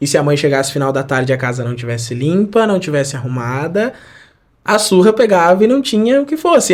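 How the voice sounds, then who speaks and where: Fairly quick, lively intonation from a man with a normal speaking voice at fairly high pitch. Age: 20s. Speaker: church member giving testimony. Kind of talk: testimony.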